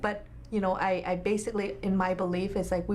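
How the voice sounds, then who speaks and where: A woman's medium-pitched voice with a Vietnamese accent and fairly even intonation. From Vietnam, moved to US at eleven. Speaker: nonprofit health clinic executive. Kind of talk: interview. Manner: halting, many fillers.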